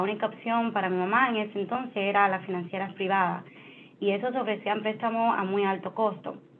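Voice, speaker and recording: In a strong Spanish accent, a woman speaks at a medium pitch with fairly even intonation. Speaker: finance executive. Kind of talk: interview. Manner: halting, many fillers.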